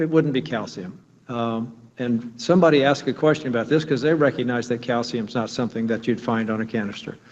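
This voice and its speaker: Talking at a fairly quick pace, a man has a normal speaking voice with ordinary pitch variation. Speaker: nuclear plant engineer presenting inspection findings. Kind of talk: technical presentation at public meeting.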